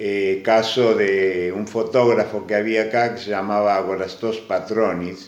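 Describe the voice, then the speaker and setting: A man's fairly low, monotone, flat voice at a fairly slow pace with hardly any pauses. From Argentina, Necochea. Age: 70s. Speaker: immigrant grandfather. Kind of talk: interview.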